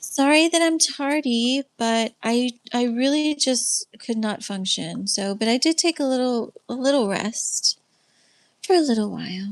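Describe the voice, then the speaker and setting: Lively intonation moves at a fairly slow pace in a dry, close sound with no echo. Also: woman, high pitch for a woman. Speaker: livestream host and faith-based life coach. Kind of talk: casual livestream teaching. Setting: live stream with chat.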